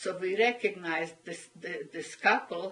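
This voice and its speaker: A woman talks at a fairly slow pace. She has a Hungarian accent. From Hungary. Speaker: Holocaust survivor. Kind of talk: oral history interview answer. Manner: hesitant, halting. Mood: earnest, recounting wartime memories.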